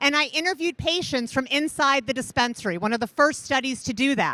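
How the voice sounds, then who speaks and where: With an American accent, a woman speaks in a high-pitched, bright, sharp voice that is raised and projected. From Indiana, US Midwest. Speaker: cannabis researcher. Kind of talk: conference talk. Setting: stage with audience. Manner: loud.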